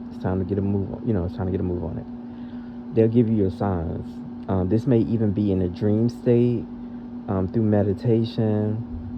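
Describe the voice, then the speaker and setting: Loud and at a moderate pace, a man talks with fairly low pitch and fairly even intonation, with audible room echo and noticeable background noise. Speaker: spiritual tarot reader. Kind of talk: channelled reading for viewers. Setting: audio-only podcast recording.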